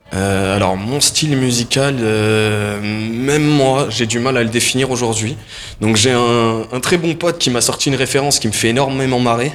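With a normal speaking voice, a man talks at a moderate pace, keeping a medium pitch and fairly even intonation. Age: 20s. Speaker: singer. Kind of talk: interview.

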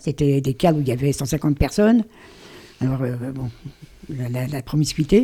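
The woman's voice has a dark, mellow tone. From Paris. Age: 80s+. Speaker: writer. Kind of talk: radio interview.

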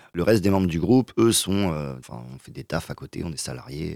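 A man with vocal fry, recorded dry and close with no echo. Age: 20s. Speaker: singer-guitarist. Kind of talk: radio interview.

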